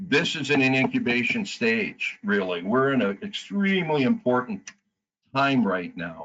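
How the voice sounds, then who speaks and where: An American-accented man talks at a fairly slow pace, his fairly high pitch making very wide swings. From US Midwest, Wisconsin (Madison area). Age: 70s. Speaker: board candidate, business owner. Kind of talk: campaign speech at online meeting. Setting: webinar. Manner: halting, with many fillers.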